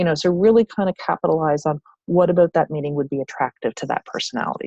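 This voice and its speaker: Very fast speech with ordinary pitch variation, a dark, mellow tone and a dry, close sound with no echo. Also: woman, fairly low pitch for a woman. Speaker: network marketing team leader. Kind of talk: training presentation.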